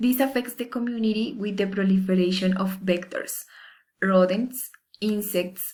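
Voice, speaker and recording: With a Spanish accent, a woman speaks at a medium pitch with ordinary pitch variation and a somewhat breathy sound. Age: 20s. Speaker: university student. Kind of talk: class assignment presentation. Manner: formal.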